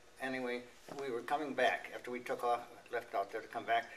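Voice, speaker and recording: Speaking very fast in an American accent, a man with a medium-pitched voice keeps a flat, monotone delivery over noticeable background noise. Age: 80s+. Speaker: war veteran. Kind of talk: testimony. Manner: halting.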